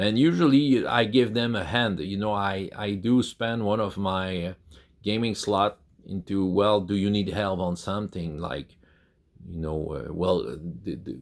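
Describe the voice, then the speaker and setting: A man with a Quebec accent, fairly slow pace and ordinary pitch variation. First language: French. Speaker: YouTuber on tabletop role-playing games. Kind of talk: casual talk to camera. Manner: halting, many repeated words and fillers.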